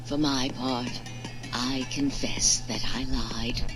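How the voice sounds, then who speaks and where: A put-on character voice at a low-to-middle pitch moves at a very slow pace. Loud background noise runs underneath. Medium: solo performance. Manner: calm, measured.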